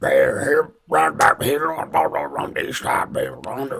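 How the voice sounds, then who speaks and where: A man puts on a raspy character voice. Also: moderate pace. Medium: actual play. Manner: repetitive, drawling.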